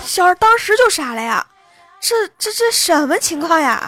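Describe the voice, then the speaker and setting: A woman's playful, animated tone, high in pitch with very wide pitch swings, at a fairly slow pace. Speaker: online radio host. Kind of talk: casual monologue with joke telling. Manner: animated, frequent laughter; playful cutesy tone.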